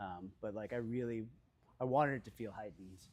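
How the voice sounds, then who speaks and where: A man of medium pitch at a fairly quick pace, with ordinary variation in pitch. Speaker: cinematographer. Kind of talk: onstage interview. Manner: soft-spoken; halting, many fillers.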